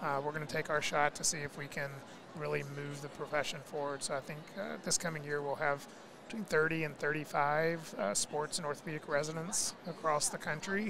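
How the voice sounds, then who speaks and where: A fairly high-pitched man with an American accent speaks at a fairly quick pace with fairly even intonation over noticeable background noise. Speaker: physical therapy executive and researcher. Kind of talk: podcast interview.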